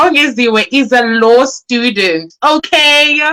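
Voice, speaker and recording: A woman speaks loudly in a high, bright, sharp tone. Her delivery is animated, with lively intonation. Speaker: book launch host. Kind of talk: live-streamed event hosting. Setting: live stream on Facebook.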